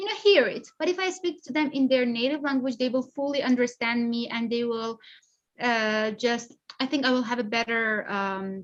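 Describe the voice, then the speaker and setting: Speaking in a Persian accent at a moderate pace, a woman uses a high pitch with ordinary pitch variation. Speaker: polyglot social media creator. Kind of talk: interview. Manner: hesitant. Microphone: unstable connection.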